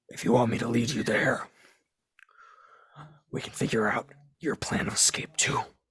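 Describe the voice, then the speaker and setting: A man's put-on character voice, whispering and raspy, at a moderate pace with long, frequent pauses. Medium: actual play. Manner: grave, foreboding.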